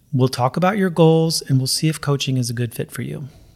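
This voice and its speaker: The voice is an unremarkable speaking voice with ordinary pitch variation at a moderate pace. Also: man. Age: 50s. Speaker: weight loss coach for runners. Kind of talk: podcast monologue. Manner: casual, conversational with fillers.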